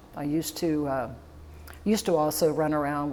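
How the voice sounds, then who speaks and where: A woman's very deep, low voice in a Florida accent. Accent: Southern US (Florida). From Florida, DeLand. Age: 60s. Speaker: funeral home owner. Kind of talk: oral history interview.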